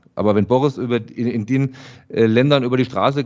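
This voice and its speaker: At a fairly quick pace, a man talks in an unremarkable speaking voice at medium pitch with ordinary pitch variation. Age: 40s. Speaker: journalist and podcast producer. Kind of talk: casual chat.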